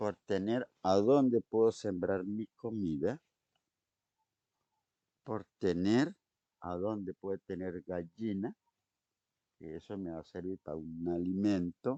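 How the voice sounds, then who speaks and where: Speaking very slowly with long, frequent pauses, a man uses a fairly low voice with a dark, mellow tone and ordinary pitch variation, recorded dry and close with no echo. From Colombia, eastern plains. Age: old. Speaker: shaman and spiritual teacher. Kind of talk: interview answer.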